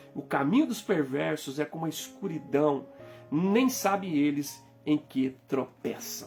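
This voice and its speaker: Over music in the background, a man with a fairly high pitch talks at a fairly slow pace with ordinary pitch variation. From Minas Gerais, Brazil. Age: 40s. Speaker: pastor. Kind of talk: sermon.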